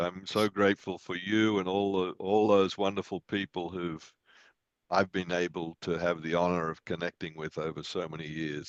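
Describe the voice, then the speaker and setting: Speaking with an Australian accent, a man uses a very deep, low pitch and fairly even intonation at a moderate pace, the sound dry and close with no echo. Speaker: meditation and yoga teacher. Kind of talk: group discussion after guided meditation.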